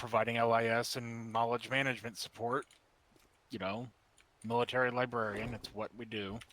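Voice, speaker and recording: A man uses a raspy put-on character voice at a medium pitch. He talks at a moderate pace in a flat monotone, with long, frequent pauses. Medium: actual play. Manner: halting, self-deprecating.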